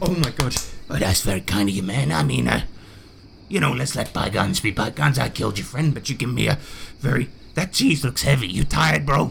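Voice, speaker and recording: A man does a put-on character voice at medium pitch and a fairly quick pace, with clear background noise behind him. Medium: actual play. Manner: casual, blokey, calls people brother and bro.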